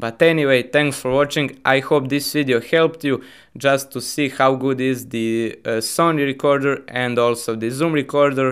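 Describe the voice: The tone is fairly bright. Delivery keeps a moderate pace with fairly even intonation. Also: man, medium pitch for a man.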